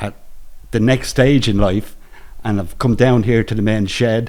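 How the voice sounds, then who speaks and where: This man has an Irish accent. His pitch sits fairly low. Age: 60s. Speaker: retiree, men's shed member. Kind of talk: testimony. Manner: halting.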